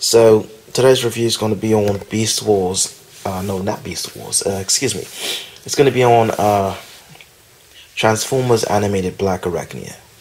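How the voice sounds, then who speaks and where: A moderate pace with fairly even intonation and long, frequent pauses, over noticeable background noise. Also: man, fairly low pitch for a man. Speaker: toy reviewer. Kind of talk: toy review video. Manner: halting, many fillers.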